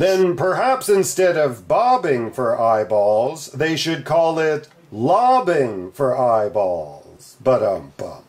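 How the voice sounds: Very slowly, a man performs a put-on character voice at a fairly high pitch. His pitch swings very widely.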